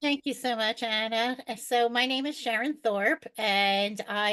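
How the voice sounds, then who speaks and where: Speaking at a moderate pace, a woman uses a normal speaking voice with ordinary pitch variation. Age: 60s. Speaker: world traveler. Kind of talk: podcast interview.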